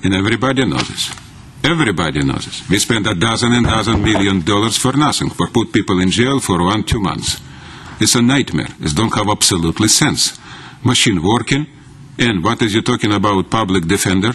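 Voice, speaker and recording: With noticeable background noise, a man speaks at a fairly quick pace in a fairly low voice, his intonation lively. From former Soviet Union. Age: 60s. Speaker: activist speaking at public comment. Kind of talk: public comment speech. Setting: county council meeting. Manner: animated.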